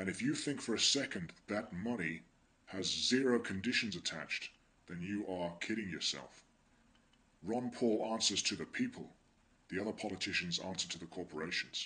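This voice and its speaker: A man talks at a moderate pace with an English accent. His fairly low pitch shows ordinary variation. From England. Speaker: political commentator vlogger. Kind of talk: monologue commentary.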